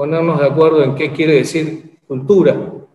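Against a quiet background with audible room echo, a man with a fairly high pitch speaks in monotone, flat intonation. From Uruguay. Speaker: social security institute director; webinar panelist. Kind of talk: webinar presentation. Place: office. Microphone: video call.

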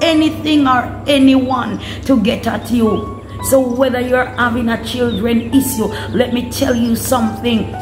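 Over clear music in the background, a woman speaks fairly slowly in a high voice with monotone, flat intonation. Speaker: prayer minister. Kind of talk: sermon. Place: home room. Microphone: phone near.

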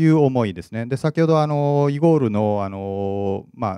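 The voice has a dark, mellow tone that is also clear and smooth, moving at a fairly quick pace with ordinary pitch variation, in a very clean, dry, close recording with no echo and a silent background. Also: man.

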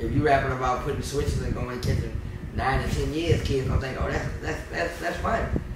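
Through loud background noise and audible room echo, a man talks at a fairly quick pace. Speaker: content creator and rapper. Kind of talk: casual interview. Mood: relaxed, joking, sometimes serious. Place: home room.

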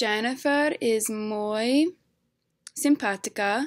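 Over a quiet background, a woman in an English accent speaks at a very slow pace, her fairly high pitch varying in an ordinary way. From Delaware, US. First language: English (speaking Spanish). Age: 20s. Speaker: university student. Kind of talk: reading aloud. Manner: halting. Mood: relaxed, slightly self-conscious. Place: home room. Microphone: webcam.

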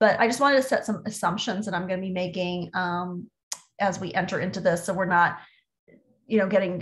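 A woman with an American accent speaks in a somewhat breathy voice with ordinary pitch variation. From US South, Orlando, Florida; Florida. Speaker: marketing executive; presenter. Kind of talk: webinar presentation. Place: home room. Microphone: webcam.

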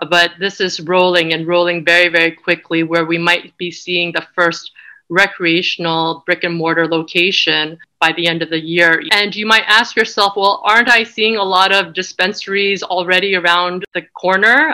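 A woman speaks with a fairly low pitch and a bright, sharp tone, barely pausing at all. Her intonation is fairly even, and the background is quiet. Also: moderate pace. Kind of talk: lecture. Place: home room. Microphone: webcam.

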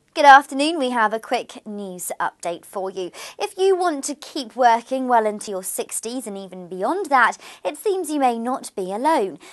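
Against a quiet background, a woman talks at a moderate pace in a high voice with very wide pitch swings. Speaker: news presenter. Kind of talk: news reading. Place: studio.

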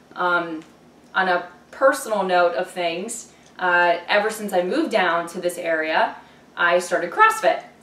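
A woman with an American accent speaks at a fairly slow pace in a fairly low pitch, her intonation fairly even, with audible room echo. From Ohio. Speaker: dietitian. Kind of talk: self-introduction video. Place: home room.

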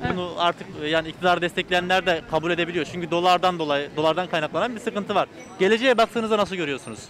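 A man with a high pitch at a very fast pace, with noticeable background noise and a dry sound with no echo. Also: ordinary pitch variation. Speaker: street reporter. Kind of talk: street interview. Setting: outdoors. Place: street. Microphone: handheld.

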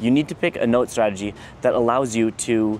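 There is light background noise as a man talks at a moderate pace with fairly even intonation, the sound dry with no echo. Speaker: engineering student vlogger. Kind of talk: casual advice vlog. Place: garden. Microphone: lapel.

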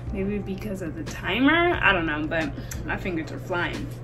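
Clear background music behind a woman's voice. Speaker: crochet creator. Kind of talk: casual vlog chat. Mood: pleased, upbeat. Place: home room. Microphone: camera far.

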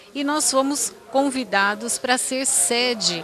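The voice shows ordinary pitch variation in a dry sound with no echo. Noticeable background noise is present. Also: woman. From Campinas, Brazil; Brazil. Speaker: city first lady; interviewee. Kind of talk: interview. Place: office. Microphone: handheld.

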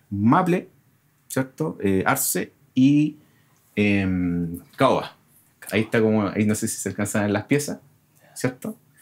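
Lively intonation carries a very slow delivery broken by long, frequent pauses. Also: man, fairly low pitch for a man. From Chile. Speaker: guitarist and composer; guest. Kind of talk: casual chat. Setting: studio. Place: studio.

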